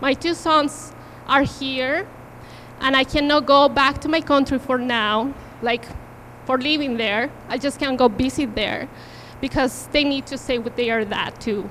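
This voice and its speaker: A woman talks at a fairly slow pace in a strong Peruvian accent. Her pitch is high and her intonation fairly even. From Peru, Cusco. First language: Spanish. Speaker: invited speaker, mother. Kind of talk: personal testimony. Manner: halting.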